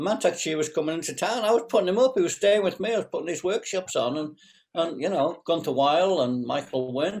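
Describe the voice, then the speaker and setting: A man speaks at a fairly quick pace, his high pitch carried by lively intonation. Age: 70s. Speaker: qigong teacher and former acupuncturist. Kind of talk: interview. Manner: halting, many fillers.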